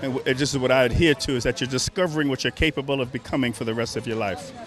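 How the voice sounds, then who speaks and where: A man talks at a very fast pace with an American accent. Music plays in the background. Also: medium pitch for a man, ordinary pitch variation. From New York, Bronx. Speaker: reunion attendee. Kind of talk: casual interview.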